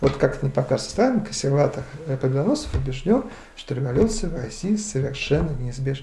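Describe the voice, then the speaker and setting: Very fast speech in a dark, mellow tone with vocal fry, audible room echo and light background noise. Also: man. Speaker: history professor. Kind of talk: interview. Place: cafe.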